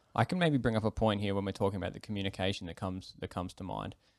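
Recorded very cleanly against a silent background, a man with an Australian accent speaks in a fairly even intonation. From Australia, Melbourne. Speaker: podcast co-host. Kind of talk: casual chat.

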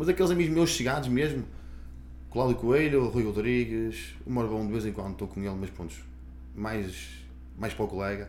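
A man speaks at a moderate pace with a fairly low pitch, vocal fry and very wide pitch swings. Long, frequent pauses break up his speech, and room echo is audible. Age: 30s. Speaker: personal trainer. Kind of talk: casual chat.

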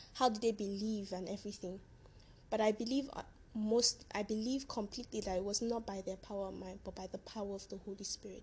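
A woman's medium-pitched, somewhat breathy voice, fairly quick and fairly even in intonation, with big swings in loudness. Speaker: podcaster. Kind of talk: devotional talk. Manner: warm, encouraging.

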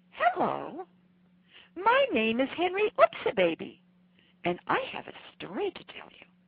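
A woman puts on a character voice at an extremely high pitch, leaving long, frequent pauses. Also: moderate pace. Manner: cute, sweet.

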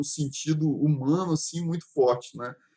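A man speaks with fairly even intonation and a fairly high pitch. His voice is somewhat breathy. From Brazil, Espírito Santo (Vitória). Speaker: podcast host. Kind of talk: casual chat.

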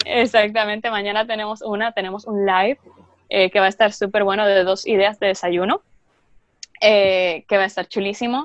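Medium pitch from a woman, flat monotone intonation at a moderate pace, in a dry, close sound with no echo. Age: 20s. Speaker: health food content creator. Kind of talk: casual interview.

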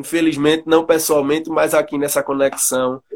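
In an ordinary speaking voice, a man with a fairly high pitch talks at a moderate pace. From Pernambuco, Brazil. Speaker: podcast host and music researcher. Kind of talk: interview.

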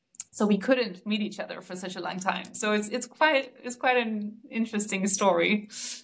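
Amid noticeable background noise, a woman's loudness swings a lot while her intonation stays fairly even. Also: fairly high pitch for a woman, moderate pace. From Denmark. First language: Danish. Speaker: relationship coach. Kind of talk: casual interview chat.

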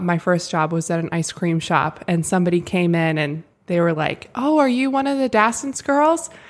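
This is a woman with an unremarkable speaking voice, medium in pitch, moving at a moderate pace. Her intonation is lively, and the recording is very clean with a silent background. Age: 20s. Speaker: social media and event manager for a women's ministry. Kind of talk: casual chat with faith testimony. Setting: studio.

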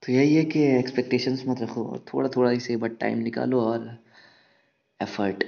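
This man speaks at medium pitch with fairly even intonation. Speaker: podcaster. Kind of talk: casual monologue on love. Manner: casual and unscripted, with hesitations.

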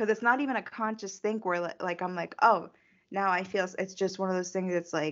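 This woman has an unremarkable speaking voice at medium pitch. Her pitch variation is ordinary. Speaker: podcast co-host. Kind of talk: casual chat.

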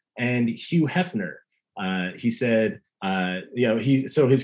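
With lively intonation, a man uses a normal speaking voice at a medium pitch. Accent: American. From Long Island, New York. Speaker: podcast co-host. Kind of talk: casual chat.

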